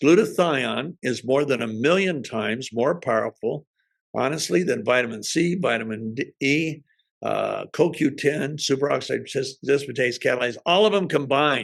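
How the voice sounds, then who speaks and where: Using vocal fry, a man speaks at a fairly high pitch and a moderate pace with ordinary pitch variation. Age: 70s. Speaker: health product entrepreneur. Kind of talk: presentation. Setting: at home in the kitchen.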